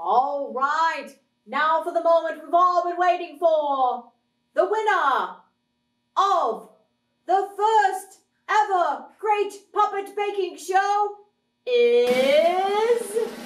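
In a put-on character voice of extremely high pitch, the speaker moves at a very slow pace with long, frequent pauses. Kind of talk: TV game show hosting. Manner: bubbly, enthusiastic.

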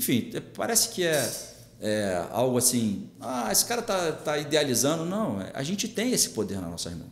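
With audible room echo, a man speaks at a fairly high pitch and a moderate pace. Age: 50s. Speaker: police chief and political candidate; podcast guest. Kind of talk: interview. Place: studio.

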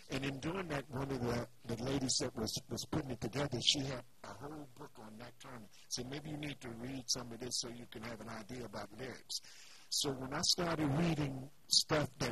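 Against noticeable background noise, a man talks at a fairly quick pace, the sound dry with no echo. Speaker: talk show guest. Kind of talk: interview answer. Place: studio. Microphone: studio mic.

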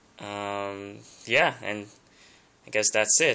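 The tone is bright and sharp as a man speaks in a non-native accent. His pace is fairly slow. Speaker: tablet user showing his setup. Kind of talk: tech tutorial talk to camera. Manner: nervous, hesitant. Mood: nervous, hesitant, many ums. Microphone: phone near.

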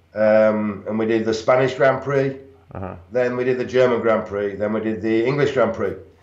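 A man's voice with fairly even intonation, audible room echo and a quiet background. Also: moderate pace, hardly any pauses. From northern England. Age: 50s. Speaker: retired bodybuilder and pro wrestler; interview guest. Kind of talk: interview. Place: home room. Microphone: video call.

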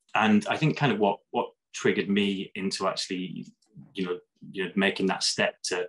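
A northern English accent at a moderate pace over a quiet background. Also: man. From northern England, Lake District; northern England. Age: 30s. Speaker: HIV advocate and vlogger; vlogger. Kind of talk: interview testimony. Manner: halting, many fillers. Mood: reflective, personal. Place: home room. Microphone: webcam.

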